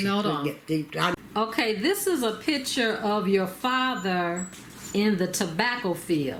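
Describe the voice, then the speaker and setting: A woman speaks at a medium pitch with lively intonation and very even loudness over noticeable background noise. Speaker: family interviewer. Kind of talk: interview questions.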